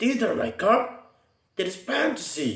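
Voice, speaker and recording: A man does a put-on character voice, growling at an extremely high pitch, with slight echo. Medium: read story. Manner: growling, snarling.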